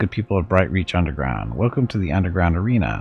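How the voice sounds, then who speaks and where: In a booming, put-on character voice, a man talks at a very fast pace, his very deep, low pitch making very wide swings. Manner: showman.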